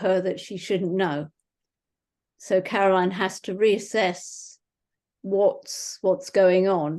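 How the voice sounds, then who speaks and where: A woman speaks with a British accent at a medium pitch. Her pace is fairly slow, and the background is quiet. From England. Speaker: mystery author. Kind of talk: author talk.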